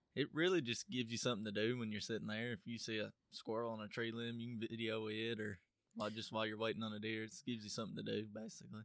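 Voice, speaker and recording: A man speaks at a very fast pace in a rural Southern US accent. His pitch is medium with ordinary variation. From US South, Tennessee (DeKalb County). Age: young. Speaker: young tradesman and hunter. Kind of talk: casual interview. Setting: studio.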